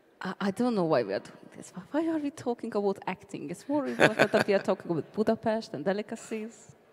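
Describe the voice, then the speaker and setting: With a Hungarian accent, the speaker rushes at a very fast pace with hardly any pauses, very wide pitch swings and big swings in loudness, over noticeable background noise. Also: woman, fairly high pitch for a woman. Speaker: convention panel moderator. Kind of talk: convention panel interview. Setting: stage with audience.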